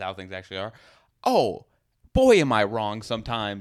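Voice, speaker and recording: Speaking at a fairly quick pace, a man has a fairly low pitch and a normal speaking voice. The recording is very clean, with a silent background. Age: 20s. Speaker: comedian and podcast co-host. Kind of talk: casual chat.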